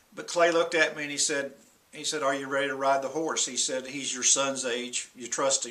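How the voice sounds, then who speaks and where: A man speaks in a monotone with flat intonation, and his loudness swings widely. Background noise is noticeable. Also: fairly high pitch for a man, fairly quick pace. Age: 60s. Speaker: senior pastor. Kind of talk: talk to camera.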